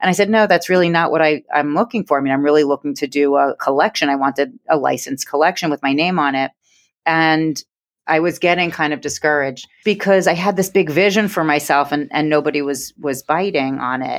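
Recorded dry and close with no echo against a quiet background, a woman with a New York accent speaks at a very deep, low pitch. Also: ordinary pitch variation. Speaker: interior design business owner. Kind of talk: podcast interview.

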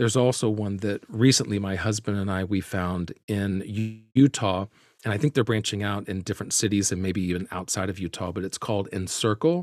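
A man with a fairly low pitch uses an ordinary speaking voice at a fairly quick pace with ordinary pitch variation. The sound is dry and close with no echo, on a very clean recording with a silent background. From US South, Birmingham, Alabama. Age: 40s. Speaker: actor. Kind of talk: interview.

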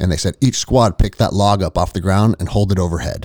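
A man with an American accent speaks at a moderate pace in a fairly low pitch, his tone dark and mellow, his pitch varying in an ordinary way, on a very clean recording with a silent background and a dry, close sound free of echo. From United States. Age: 40s. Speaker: former army ranger and jiu-jitsu gym owner. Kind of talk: casual chat.

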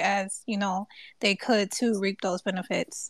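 The recording is very clean, with a silent background and a dry, close sound with no echo. A woman speaks in an unremarkable speaking voice. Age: 20s. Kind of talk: casual chat. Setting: Twitter Space audio room.

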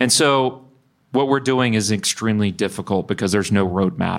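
At a fairly quick pace, a man with a fairly low pitch and ordinary pitch variation speaks in a very clean recording with a silent background. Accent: Texan. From Texas (Bryan). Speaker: energy company founder and CEO. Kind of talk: live interview. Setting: live event with audience.

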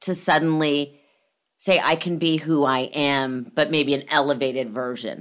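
A woman with an American accent at a fairly slow pace, in a very clean recording with a silent background. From Los Angeles. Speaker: podcast host. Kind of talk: casual chat.

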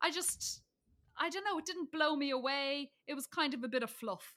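With a Dublin accent, a woman speaks at a high pitch and a moderate pace. Her raised, projected voice has a bright, sharp tone. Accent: Dublin Irish. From Ireland, Dublin. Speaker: comedian. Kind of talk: casual chat. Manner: animated.

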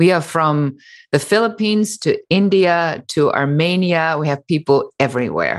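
In a German accent, a woman speaks at a moderate pace with a fairly low pitch. Her pitch varies in an ordinary way, and the background is quiet. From Germany. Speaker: business coach and entrepreneur. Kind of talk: interview.

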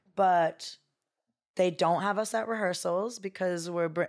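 A woman's fairly low, plain, everyday voice with fairly even intonation, on a very clean recording with a silent background. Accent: American. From US West Coast, Bay Area. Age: 30s. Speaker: dancer and choreographer. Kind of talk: casual chat.

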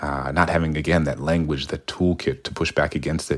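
A man's very deep, low voice with vocal fry and an American accent at a very fast pace. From US South, New Orleans. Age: 30s. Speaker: poet and author. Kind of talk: interview.

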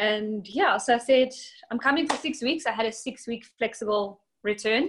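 A woman speaks in a South African accent with ordinary pitch variation. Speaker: bikini competitor and coach. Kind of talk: casual interview.

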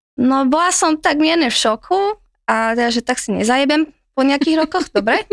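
Lively in intonation, a woman talks at a fairly quick pace in a high voice. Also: very even loudness. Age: 20s. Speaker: guest sharing dating stories. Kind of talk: casual chat.

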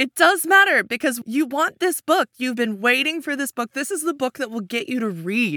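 A woman's raised, projected voice, high in pitch with very wide swings, in a dry, close sound with no echo. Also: moderate pace. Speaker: writer and actor guest. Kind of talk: casual game show banter.

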